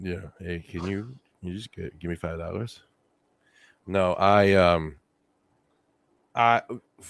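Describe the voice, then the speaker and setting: A man speaks with a very deep, low pitch at a fairly slow pace, his intonation fairly even, his loudness swinging widely, and long, frequent pauses, all on a very clean recording with a silent background. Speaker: podcast co-host. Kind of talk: casual chat.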